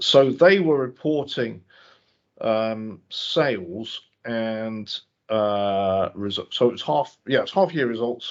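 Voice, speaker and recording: Mumbling in a put-on character voice, a man speaks at a very slow pace and a medium pitch. His intonation is lively. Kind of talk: professional, hesitant with fillers.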